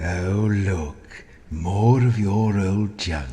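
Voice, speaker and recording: A cartoonish character voice from a man, pitched fairly low. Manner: dry, wry.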